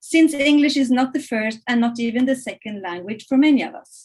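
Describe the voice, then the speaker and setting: A woman with a high pitch talks at a moderate pace, and her pitch varies in an ordinary way. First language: Norwegian and Italian. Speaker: research centre director. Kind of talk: welcome address. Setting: webinar. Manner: halting, many fillers.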